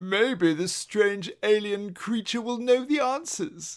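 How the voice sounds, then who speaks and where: Putting on a character voice, a man speaks at a fairly slow pace in a high pitch with ordinary pitch variation. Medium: read story. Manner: haughty, teasing.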